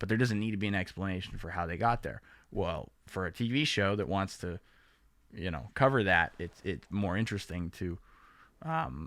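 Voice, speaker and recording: In a very clean recording with a silent background, a man with a very deep, low voice talks at a moderate pace. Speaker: podcast co-host and video creator. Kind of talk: casual chat.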